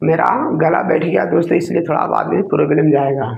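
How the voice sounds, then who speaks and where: A man is speaking. His pace is moderate. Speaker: exam coaching teacher. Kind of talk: tutorial. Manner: casual, repetitive filler words.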